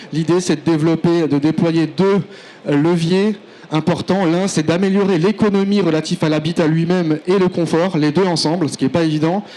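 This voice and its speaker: With noticeable background noise behind him, a man speaks at a high pitch with fairly even intonation. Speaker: engineer presenting a project. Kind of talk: conference presentation. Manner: fast; hesitant, many fillers.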